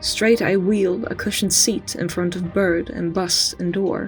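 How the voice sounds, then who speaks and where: Music in the background behind a woman at medium pitch, with fairly even intonation and a fairly slow pace. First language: not English. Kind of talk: poetry reading.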